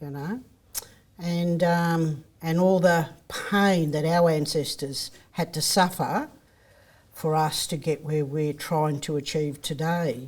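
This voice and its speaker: This woman has a fairly low pitch and fairly even intonation. She talks at a very slow pace. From Australia, Gippsland, Victoria. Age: 60s. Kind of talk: podcast interview, personal storytelling. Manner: hesitant, many fillers.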